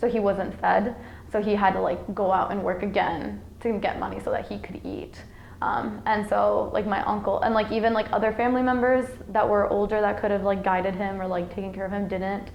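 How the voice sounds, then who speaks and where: A woman with an American accent talks at a fairly quick pace, with audible room echo and noticeable background noise. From Iowa, US Midwest (Sioux City), with childhood time in Mexico. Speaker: college student. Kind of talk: interview. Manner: hesitant, many fillers.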